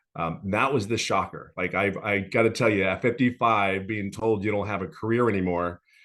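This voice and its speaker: Against a quiet background, a man with a fairly low pitch and an unremarkable speaking voice talks at a moderate pace, with fairly even intonation and hardly any pauses. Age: 50s. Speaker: former corporate executive, course customer. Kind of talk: testimony.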